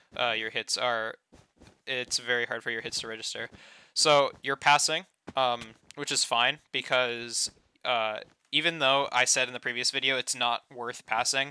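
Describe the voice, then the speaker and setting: Recorded dry and close with no echo, the clip is very clean over a silent background. A man talks at a medium pitch in a monotone, flat intonation with a bright, sharp tone. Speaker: gaming YouTuber reviewing gameplay. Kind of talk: gameplay commentary tutorial. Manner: fast; hesitant, many fillers.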